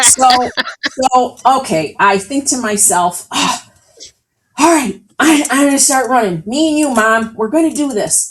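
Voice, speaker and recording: In an American accent, a woman speaks at a fairly slow pace with an animated tone, lively intonation and a high pitch. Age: 60s. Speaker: author and healthcare leader. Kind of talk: interview storytelling.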